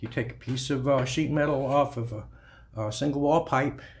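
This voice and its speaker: Light background noise sits behind a man with a somewhat breathy voice. He talks at a fairly quick pace with fairly even intonation. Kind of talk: tutorial. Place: garage. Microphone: camera far.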